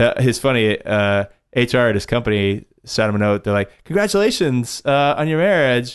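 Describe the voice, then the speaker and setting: A man speaks at a moderate pace against a quiet background, his pitch medium and his loudness very even. His intonation is lively, and it is an unremarkable speaking voice. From Texas (Dallas), born in Kentucky. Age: 40s. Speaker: cocktail bartender and educator. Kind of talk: casual interview.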